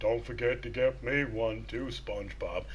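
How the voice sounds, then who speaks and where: Clear background noise behind a man's put-on character voice at a moderate pace. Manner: slow, dopey.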